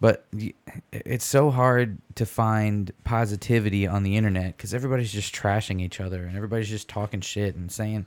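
A man with an American accent, fairly low-pitched, at a fairly quick pace with fairly even intonation, on a very clean recording against a silent background. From Michigan, US Midwest. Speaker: podcast host. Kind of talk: casual chat.

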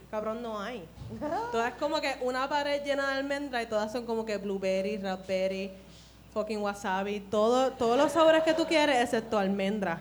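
With a Puerto Rican accent, a woman speaks at a fairly high pitch and a moderate pace. Her pitch varies in an ordinary way. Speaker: guest performer. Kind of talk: casual chat.

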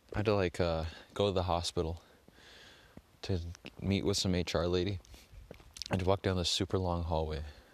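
Against a quiet background, a man with a very deep, low pitch talks at a fairly quick pace in a monotone, flat intonation, leaving long, frequent pauses and keeping very even loudness. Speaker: solo podcast host. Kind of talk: casual monologue. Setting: outdoors, walking. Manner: rambling, hesitant with fillers.

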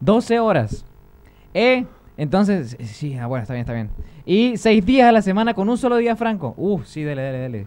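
A man speaks with very wide pitch swings. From Venezuelan Andes, Táchira (Lobatera). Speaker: YouTuber. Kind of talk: casual chat. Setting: studio.

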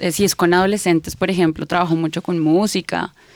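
A woman with a Bogotá accent at medium pitch, in a dry, close sound with no echo. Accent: Bogotá Colombian Spanish. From Colombia, Bogotá. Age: 30s. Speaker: psychologist and therapist. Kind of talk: casual interview chat. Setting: studio.

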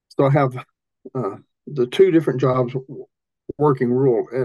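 This man has a medium pitch and a dark, mellow tone. He speaks with an Appalachian accent. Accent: Appalachian Southern US. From US South, Appalachian Tennessee. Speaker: rural ministry leader, missions strategist. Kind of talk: interview.

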